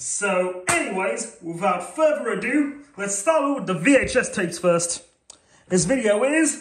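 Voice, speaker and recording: Light noise hums behind a man who talks at a moderate speed. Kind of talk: casual vlog chat. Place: home room.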